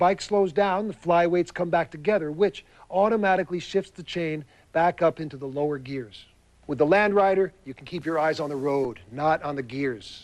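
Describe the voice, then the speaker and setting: This man has an unremarkable speaking voice with a fairly high pitch. He talks at a moderate pace over a quiet background. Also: ordinary pitch variation, big swings in loudness. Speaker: infomercial host. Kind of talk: infomercial presentation.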